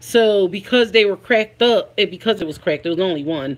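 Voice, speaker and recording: A woman with an American accent speaks at a medium pitch with lively intonation. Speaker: family vlogger. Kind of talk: casual livestream chat. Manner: halting with fillers.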